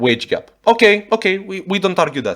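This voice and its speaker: In a Romanian accent, a man speaks at a high pitch with lively intonation. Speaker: YouTube reactor. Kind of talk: reaction video commentary. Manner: animated.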